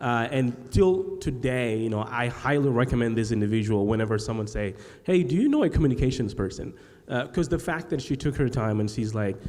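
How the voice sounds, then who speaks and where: Medium pitch from a man, fairly quick delivery, ordinary pitch variation, audible room echo. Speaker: podcast host and agency founder. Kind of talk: live panel discussion. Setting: stage with live audience. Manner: halting, many fillers and repeated sounds.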